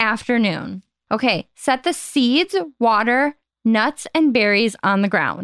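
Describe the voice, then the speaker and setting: Speaking at a very slow pace, a woman uses a fairly high pitch and lively intonation. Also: very even loudness. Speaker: podcast co-host. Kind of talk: casual chat. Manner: loud when recording.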